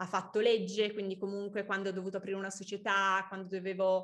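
A woman talks at a fairly quick pace in a bright, sharp tone at a medium pitch, on a very clean recording with a silent background. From Milan, northern Italy. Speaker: young entrepreneur, fashion founder. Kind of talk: casual interview. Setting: podcast.

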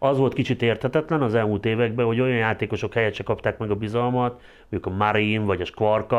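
Over a quiet background, a man speaks very fast with fairly even intonation. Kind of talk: casual discussion.

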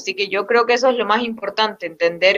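A woman's bright, sharp voice at medium pitch with fairly even intonation. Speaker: football coach. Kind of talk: interview.

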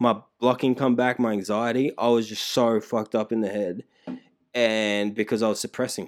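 The speaker has an Australian accent and a monotone, flat intonation. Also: man, medium pitch for a man, moderate pace. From Emerald, Queensland, Australia. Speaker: rapper. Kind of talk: casual chat.

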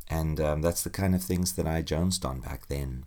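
A man with a very deep, low pitch and fairly even intonation, in a very clean recording with a silent background. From South Africa. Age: 40s. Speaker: podcast host. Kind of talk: solo podcast monologue.

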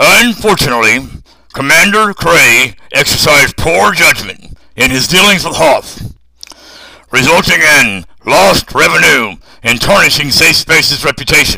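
At a moderate pace, a man speaks in a raspy voice. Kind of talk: military briefing. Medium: audio drama. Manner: formal, measured, blunt.

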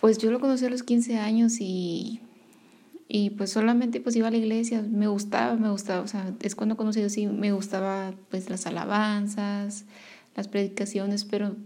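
A woman speaks at a fairly slow pace in a medium pitch, her somewhat breathy voice held to a monotone, flat intonation. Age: 20s. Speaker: podcaster sharing faith testimony. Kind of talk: personal testimony. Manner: halting, many fillers.

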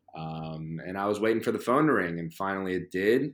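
A man with an American accent speaks at a moderate pace with a fairly low pitch and ordinary pitch variation, an unremarkable speaking voice. The recording is very clean, with a silent background. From Philadelphia area, US. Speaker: professional soccer player. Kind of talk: interview.

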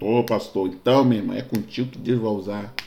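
With a Rio de Janeiro accent, a man speaks at a medium pitch in a dark, mellow tone with fairly even intonation. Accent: Carioca Brazilian Portuguese. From Rio de Janeiro, Brazil. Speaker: pastor. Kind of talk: sermon-style podcast monologue.

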